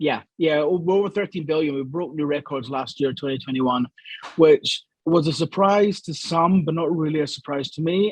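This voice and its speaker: With a Scottish accent, a man speaks at a moderate pace and a fairly high pitch, showing ordinary pitch variation in a dry, close sound with no echo. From Scotland, Glasgow. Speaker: gambling industry analyst and columnist. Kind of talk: interview.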